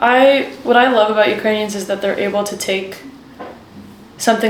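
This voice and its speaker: A woman with an American accent speaks at a moderate pace, her medium pitch held in fairly even intonation. The room echo is audible and background noise is noticeable. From Washington, D.C., US. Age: 20s. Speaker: aid worker at a children's charity. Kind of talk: interview.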